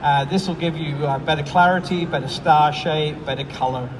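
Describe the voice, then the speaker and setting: Speaking at a moderate pace in an American accent, the voice keeps a fairly even intonation. Audible room echo and noticeable background noise are present. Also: man. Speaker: product support engineer and astro imager. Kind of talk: product presentation. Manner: hesitant, many fillers.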